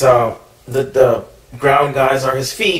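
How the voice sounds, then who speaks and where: Noticeable background noise fills this recording. Over it, a man talks at a fairly slow pace. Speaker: toy reviewer. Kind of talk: product review. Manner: hesitant, many fillers.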